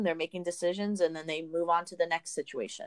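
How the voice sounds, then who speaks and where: Her medium-pitched voice is monotone and flat, and the woman's sound is dry and close with no echo. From US. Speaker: college counselor. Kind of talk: interview.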